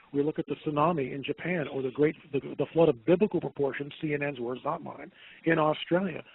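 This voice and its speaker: A normal speaking voice from a man, fairly high in pitch, fairly quick in pace, with fairly even intonation. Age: 60s. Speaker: documentary producer and blogger. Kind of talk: radio interview.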